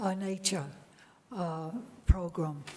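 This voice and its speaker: There is noticeable background noise. Audible room echo fills the recording. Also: woman. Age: 80s+. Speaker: retired sociology professor, public commenter. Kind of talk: public comment at council meeting. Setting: council chamber meeting.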